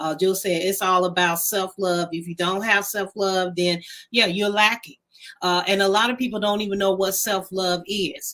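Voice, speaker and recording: Her intonation is monotone and flat. The woman speaks at a medium pitch and a moderate pace. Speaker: talk show co-host. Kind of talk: casual chat.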